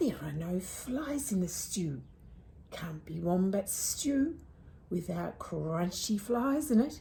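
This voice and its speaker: In a put-on character voice, a woman at a medium pitch speaks at a fairly slow pace over hissing and light background noise. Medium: read story.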